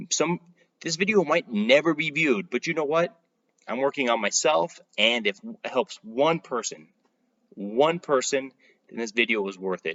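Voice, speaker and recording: Mumbling from a man at a fairly high pitch, moderate pace and very wide pitch swings. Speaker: real estate marketing youtuber. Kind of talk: casual vlog talk to camera. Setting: home playroom, recording at night. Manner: rambling, self-described mumbling.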